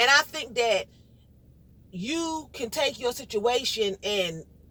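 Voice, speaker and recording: A loud, high-pitched woman's voice in an American accent, bright and sharp in tone, with lively intonation. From New York, Brooklyn. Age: 50s. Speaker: vlogger. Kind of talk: casual monologue. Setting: in a car.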